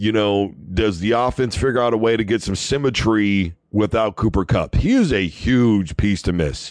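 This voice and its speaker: At a moderate pace and with hardly any pauses, a man talks in a fairly low pitch with ordinary pitch variation and very even loudness. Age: 30s. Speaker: sports radio host. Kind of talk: sports talk monologue. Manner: animated.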